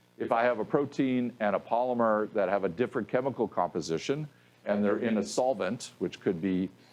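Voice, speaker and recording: Over a quiet background, a man at medium pitch keeps a very even loudness, with ordinary pitch variation and a fairly quick pace. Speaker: professor. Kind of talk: lecture. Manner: fast.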